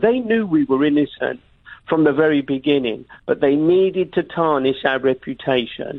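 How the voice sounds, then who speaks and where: With a London accent, a man talks at a moderate pace with lively intonation. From London, England. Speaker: investigative journalist and TV presenter. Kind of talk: radio interview. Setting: phone call from London.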